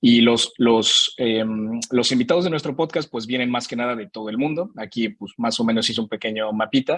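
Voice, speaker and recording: Recorded with a dry, close sound, no echo and a quiet background, a man speaks at a fairly quick pace and a medium pitch. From Mexico. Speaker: podcast host presenting his show. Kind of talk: virtual panel presentation. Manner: casual, with many fillers.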